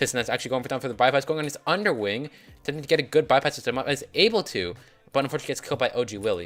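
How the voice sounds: Talking at a very fast pace, a man uses medium pitch, a fairly bright tone and lively intonation.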